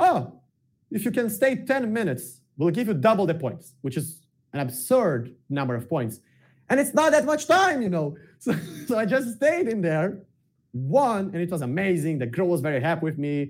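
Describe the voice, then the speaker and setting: Speaking with a Portuguese accent, a man uses a high pitch and very wide pitch swings. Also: moderate pace. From southern Brazil, Porto Alegre. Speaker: self-development content creator. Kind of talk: casual interview chat.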